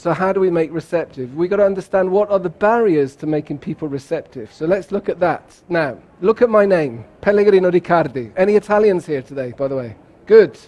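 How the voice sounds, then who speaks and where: Speaking with a British accent, this man has a high pitch. His pace is fairly quick. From England, Bath. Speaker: keynote speaker on cross-cultural communication. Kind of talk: keynote talk. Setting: conference stage with audience. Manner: animated.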